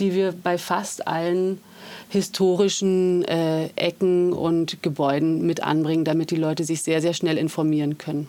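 A woman speaks at a fairly slow pace in a normal speaking voice. Her pitch sits fairly low. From Germany, Berlin. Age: 40s. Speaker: artist and district politician. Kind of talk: casual interview. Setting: studio.

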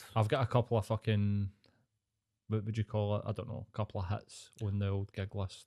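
In a very clean recording with a silent background and a dry, close sound with no echo, a man with a Scottish accent speaks fairly quickly in a flat monotone, his fairly low voice dark and mellow in tone. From Scotland. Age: 30s. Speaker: podcast guest. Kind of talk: casual chat.

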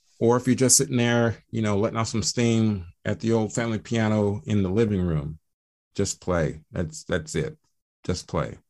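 On a very clean recording with a silent background, a man with an American accent has a normal speaking voice, fairly low in pitch with ordinary variation, at a moderate pace. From Atlanta, Georgia, US South. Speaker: reggae musician. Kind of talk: casual interview. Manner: relaxed, many fillers.

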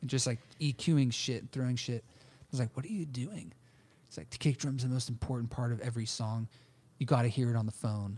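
Somewhat breathy and dark, mellow in tone, this man's voice sits at a medium pitch, moves at a fairly quick pace, and shows ordinary pitch variation. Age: 30s. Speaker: podcast host. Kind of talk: casual chat. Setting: studio.

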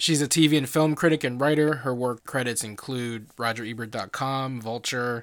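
Speaking in a normal speaking voice, a man holds a medium pitch and a moderate speed, his pitch varying in an ordinary way. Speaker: podcast host. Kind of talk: scripted intro and outro.

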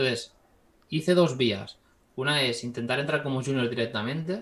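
Using a normal speaking voice, a man keeps a medium pitch, a moderate speed and ordinary pitch variation. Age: 20s. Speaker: 3D visual effects artist. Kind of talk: casual interview.

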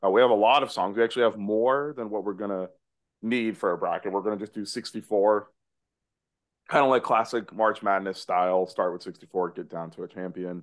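A man talks in an animated tone at a fairly quick pace. The background is quiet. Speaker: podcast co-host. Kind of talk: casual banter and album review. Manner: jokey, animated.

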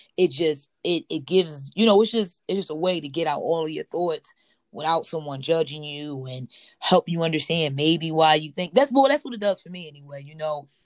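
Her pitch fairly low, a woman with an American accent speaks at a fairly quick pace. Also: ordinary pitch variation. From Philadelphia, US. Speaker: podcast host. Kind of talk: casual chat.

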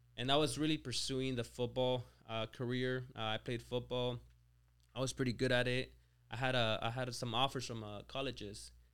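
At a moderate pace, a man with a Mexican accent talks in a medium pitch with monotone, flat intonation. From Mexico. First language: Spanish. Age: 20s. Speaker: business owner and CEO. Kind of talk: casual interview.

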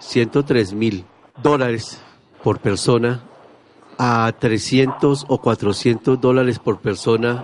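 The man's intonation stays fairly even, and noticeable noise is audible behind him. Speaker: radio host. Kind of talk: radio talk show.

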